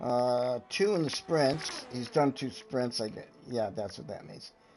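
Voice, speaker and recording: Noticeable background noise sits behind a man speaking at a medium pitch and a fairly slow pace. His intonation is lively and his loudness swings widely. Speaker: sim racing league commentator. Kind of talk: live commentary.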